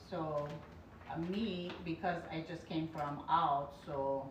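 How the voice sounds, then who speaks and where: A woman with a fairly low voice speaks at a very slow pace. The room echo is audible and background noise is noticeable. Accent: non-native. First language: not English. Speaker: beauty content creator. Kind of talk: product demonstration livestream. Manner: halting.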